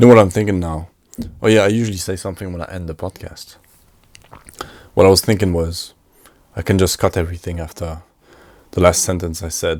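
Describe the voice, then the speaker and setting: A man's very deep, low voice at a very fast pace, with big swings in loudness and long, frequent pauses. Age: 20s. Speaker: podcaster and filmmaker. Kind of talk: solo casual podcast monologue. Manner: matter-of-fact, unenthusiastic.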